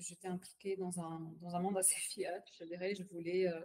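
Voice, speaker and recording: A woman with a medium-pitched, dark and mellow voice talks at a moderate pace in a flat, monotone delivery. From Palestinian family. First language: Arabic (speaking French). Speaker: bitcoin wallet executive. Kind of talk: podcast interview. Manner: hesitant, many fillers and repetitions; code-switches to English phrases.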